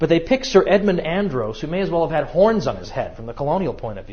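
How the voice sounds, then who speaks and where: A man with a somewhat breathy voice speaks very fast with lively intonation. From New England. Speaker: history lecturer. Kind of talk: lecture.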